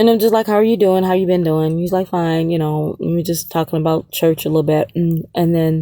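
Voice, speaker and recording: This woman has a dark, mellow tone, a fairly low pitch and fairly even intonation. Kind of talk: casual testimony monologue. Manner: halting, repetitive.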